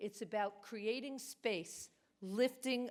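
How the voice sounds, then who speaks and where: In a Brooklyn accent, a woman speaks at a very slow pace. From New York, Brooklyn. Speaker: award recipient, business executive. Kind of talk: award acceptance speech.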